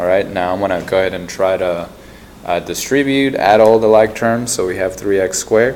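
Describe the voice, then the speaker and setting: A soft-spoken man talks at a moderate pace with fairly low pitch and ordinary pitch variation. Background noise is noticeable. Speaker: math teacher. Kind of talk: tutorial. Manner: loud.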